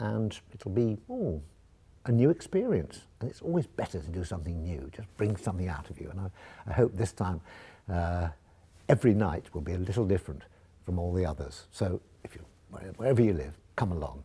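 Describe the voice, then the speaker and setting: A man with a very deep, low pitch and a dark, mellow, somewhat breathy tone talks at a fairly quick pace with lively intonation and long, frequent pauses. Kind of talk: casual talk to camera, travel documentary narration. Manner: soft-spoken, relaxed, gentle.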